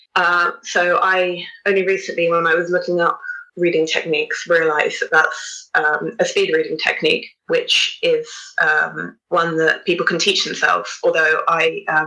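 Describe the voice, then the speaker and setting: A woman talks at a moderate pace. Her loudness stays very even. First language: Hebrew. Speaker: avid reader and blogger. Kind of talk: podcast interview. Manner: halting, many fillers.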